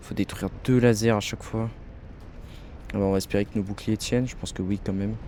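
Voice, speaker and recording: A man talks in an animated tone at a fairly quick pace, broken by long, frequent pauses. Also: fairly low pitch for a man. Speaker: video game let's player. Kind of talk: gameplay commentary. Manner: fast; casual, animated.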